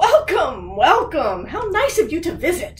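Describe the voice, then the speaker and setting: A woman puts on a character voice at an extremely high pitch. Her pitch swings very widely. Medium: read story. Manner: warm, gentle.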